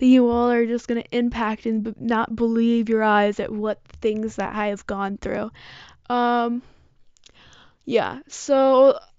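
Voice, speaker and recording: A woman speaks with a Midwestern American accent at a very slow pace, her fairly high voice monotone and flat. Long pauses come often between her words. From Michigan, US. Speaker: podcaster. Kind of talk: casual monologue.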